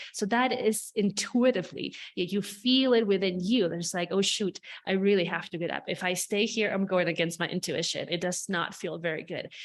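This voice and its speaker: Speaking at a fairly quick pace with a non-native accent, a woman shows ordinary pitch variation against a quiet background. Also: medium pitch for a woman. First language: not English. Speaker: spiritual healer. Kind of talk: podcast monologue. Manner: animated.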